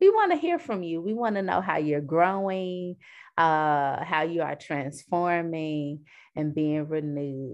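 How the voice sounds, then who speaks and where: Against a quiet background, a woman with an American accent and an ordinary speaking voice talks at a fairly slow pace, with a fairly low pitch and fairly even intonation. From US Midwest, south side of Chicago. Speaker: podcast host. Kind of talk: casual interview.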